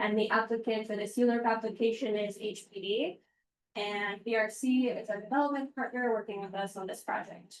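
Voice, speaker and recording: A woman with a fairly high pitch speaks loudly at a fairly quick pace, her intonation fairly even. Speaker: city housing agency official. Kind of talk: public presentation. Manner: soft-spoken; trying to speak loudly.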